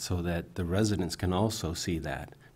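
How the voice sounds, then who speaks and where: A man with a very deep, low pitch and a dark, mellow tone speaks at a fairly quick pace with ordinary pitch variation, audible room echo around him. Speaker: city council member. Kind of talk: council meeting remarks. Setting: council chamber with audience. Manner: halting.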